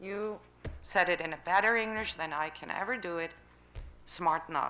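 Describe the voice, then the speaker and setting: There's audible room echo around this woman's bright, sharp voice, which carries a German accent. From Germany. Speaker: citizen speaking at council. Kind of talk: public comment at city council meeting. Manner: halting.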